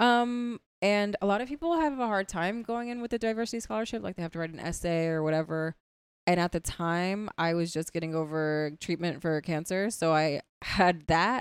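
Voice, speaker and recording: A woman with an American accent speaks at a moderate pace in a normal speaking voice. Her pitch is fairly low, and her intonation is lively. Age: 30s. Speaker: comedian. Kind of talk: casual chat.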